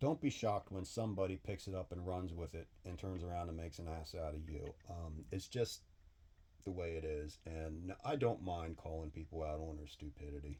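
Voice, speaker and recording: A man's very deep, low voice, somewhat breathy, with a dark, mellow tone, ordinary pitch variation and a moderate pace. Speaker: machinist / engine builder YouTuber. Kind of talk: casual workshop vlog talk. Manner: halting.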